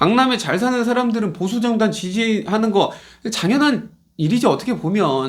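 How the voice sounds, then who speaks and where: Animated and lively in intonation, a man with a high pitch speaks at a fairly slow pace. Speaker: pastor. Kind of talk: sermon.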